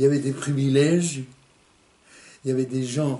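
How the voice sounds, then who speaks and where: A man's medium-pitched voice with fairly even intonation over noticeable background noise. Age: 80s+. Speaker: Resistance veteran and concentration camp survivor. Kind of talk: interview answer.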